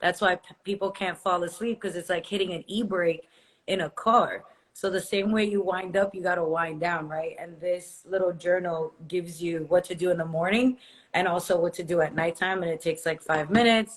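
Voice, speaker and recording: This is an unremarkable speaking voice. Its pace is moderate and its intonation fairly even. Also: woman, fairly low pitch for a woman. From Brazil, moved to US age 7-8. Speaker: entrepreneur and influencer. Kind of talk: podcast interview. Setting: online call.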